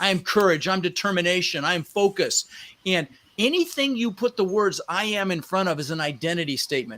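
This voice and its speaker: A man with an American accent, high-pitched, in a raised, projected voice, with an animated, bright, sharp tone, lively intonation and a fairly quick pace. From Netherlands. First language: Dutch. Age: 60s. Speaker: real estate investor. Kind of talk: podcast interview.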